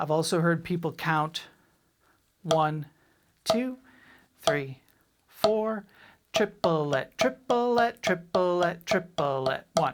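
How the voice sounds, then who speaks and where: Speaking very slowly with long, frequent pauses, a woman with an American accent uses a fairly low pitch, lively intonation and very even loudness. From Boston, US. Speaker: drum teacher. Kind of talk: tutorial. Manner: clipped, abbreviated words.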